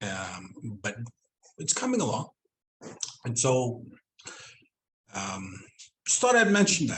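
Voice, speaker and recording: A man talks at a very slow pace with long, frequent pauses. His medium pitch rises and falls in very wide swings. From Southend, Reindeer Lake, northern Manitoba/Saskatchewan Cree community. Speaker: Cree language teacher and educator. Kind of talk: online presentation / interview talk.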